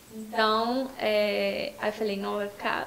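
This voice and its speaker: The speaker is a woman talking at a very slow pace with ordinary pitch variation. Audible room echo and noticeable background noise surround her voice. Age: 20s. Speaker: influencer and psychology student. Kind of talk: casual chat.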